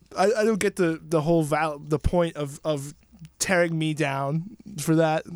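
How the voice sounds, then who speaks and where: Delivered in a normal speaking voice with an American accent, the speech moves at a fairly slow pace with fairly even intonation. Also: man, fairly high pitch for a man. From US Northeast, New York (Somers). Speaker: podcast guest. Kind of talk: casual chat.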